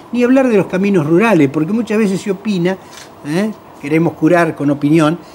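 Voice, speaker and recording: Noticeable background noise behind speech of ordinary pitch variation. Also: man, high pitch for a man. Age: 60s. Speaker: road safety NGO president. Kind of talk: TV talk show panel discussion.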